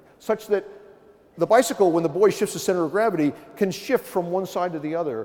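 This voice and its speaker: A man speaks with an East Coast US accent. His tone is animated. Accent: American East Coast. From US East Coast. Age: 60s. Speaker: professor. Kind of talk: keynote lecture. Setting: conference stage with audience.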